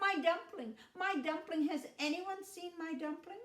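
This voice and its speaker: In a put-on character voice, a woman squeaks at an extremely high pitch and a moderate pace. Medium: read story. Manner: giggly, light, carefree.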